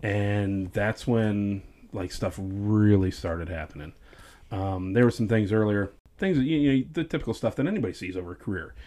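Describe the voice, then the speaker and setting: A man with a plain, everyday voice speaks at a moderate pace, his fairly low pitch showing ordinary pitch variation. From US North. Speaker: former sheriff's deputy. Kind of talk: personal testimony in casual interview. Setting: studio.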